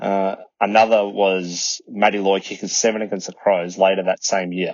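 A man's fairly low, monotone voice with an Australian accent and flat intonation. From Melbourne, Australia. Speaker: listener sharing a fan story. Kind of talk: recorded voice memo.

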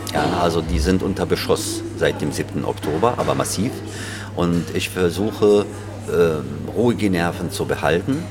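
Music plays in the background as a man with a very deep, low pitch speaks at a fairly slow pace with ordinary pitch variation, his voice carrying audible room echo. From Germany, Berlin. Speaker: chairman of a Palestinian community association. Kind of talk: interview. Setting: café. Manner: halting.

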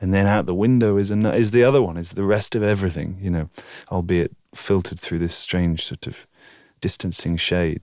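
A man speaks with a very deep, low pitch and ordinary pitch variation. His pace is fairly quick on a very clean recording with a silent background. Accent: southern English. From southern England, Oxford. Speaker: video artist. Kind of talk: interview.

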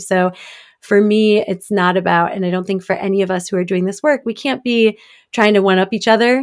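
On a very clean recording with a silent background, a woman speaks in an ordinary speaking voice at medium pitch, with an American accent and fairly even intonation. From US Midwest, Detroit suburbs, Michigan. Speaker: diversity consultant and author. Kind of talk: interview.

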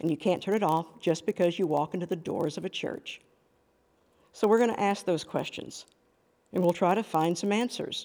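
A woman speaks at a moderate pace and a medium pitch. Her tone is dark and mellow. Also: very clean recording, silent background. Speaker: pastor and podcast host. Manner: earnest, warm and persuasive, with emphatic pauses on the hard questions.

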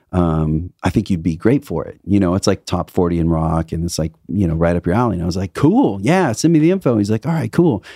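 In an American accent, a man with a very deep, low voice and a dark, mellow tone talks with lively intonation and hardly any pauses, recorded very cleanly, dry and close with no echo, over a silent background. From Indiana, US Midwest. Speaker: guitarist and singer. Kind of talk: casual interview chat.

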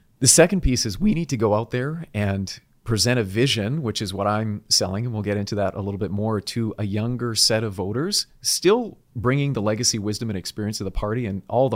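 With a Canadian accent, a man talks at a very fast pace in a fairly low pitch, with ordinary pitch variation. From British Columbia, Canada. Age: 40s. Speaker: political candidate. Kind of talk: interview.

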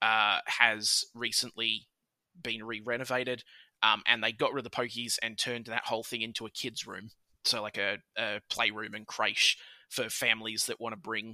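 Heard on a very clean, dry and close recording with a silent background and no echo, a man with an Australian accent talks at a moderate pace and medium pitch in a bright, sharp tone with monotone, flat intonation. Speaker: podcast guest. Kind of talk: casual chat. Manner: loud.

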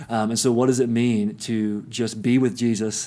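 Medium-pitched male voice with an East Tennessee accent, dark and mellow in tone, monotone and flat. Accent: Southern US (East Tennessee). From US South, East Tennessee (Kingsport). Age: 30s. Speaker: pastor. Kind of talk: interview. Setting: sitting together in the guest's neighborhood.

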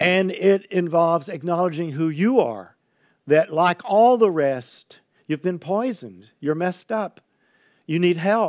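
The speech carries an American accent and lively intonation. It moves at a fairly slow pace. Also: man. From Texas (Highlands, near Houston). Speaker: pastor. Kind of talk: sermon. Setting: livestream on social media.

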